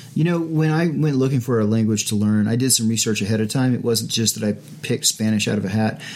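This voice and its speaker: A man's medium-pitched voice at a very fast pace with hardly any pauses. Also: ordinary pitch variation, very even loudness. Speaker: podcast host. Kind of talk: casual chat. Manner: hesitant, fillers.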